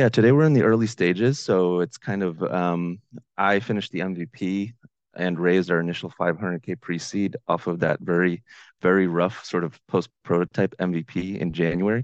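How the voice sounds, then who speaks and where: With a very deep, low pitch, a man talks at a fairly quick pace with ordinary pitch variation, his voice dry and close with no echo against a quiet background. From Ukraine. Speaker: startup founder. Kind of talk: casual interview.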